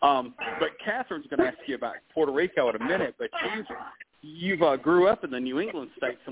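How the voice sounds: Talking at a fast pace, a man uses lively intonation, his voice carrying a slightly husky edge.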